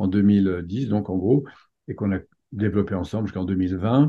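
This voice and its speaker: An ordinary speaking voice from a man at a fairly low pitch and moderate pace. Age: 50s. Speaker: personal development coach and trainer. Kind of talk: interview.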